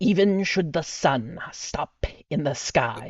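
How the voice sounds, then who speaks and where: A put-on character voice at a middle pitch. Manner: grave, ritualistic cadence.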